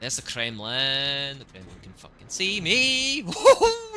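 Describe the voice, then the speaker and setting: Music plays in the background as someone talks in a strong Scottish accent. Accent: Scottish, heavy. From Scotland, Lowlands. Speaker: video game streamer. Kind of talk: live gameplay commentary. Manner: casual, chatty.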